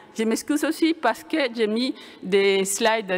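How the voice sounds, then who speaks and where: Speaking very slowly with a Venezuelan accent, a woman with a fairly high pitch swings it very widely over noticeable background noise. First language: Spanish (speaking French). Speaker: computer science professor. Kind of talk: conference talk. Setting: lecture hall with audience. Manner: hesitant, many fillers and restarts.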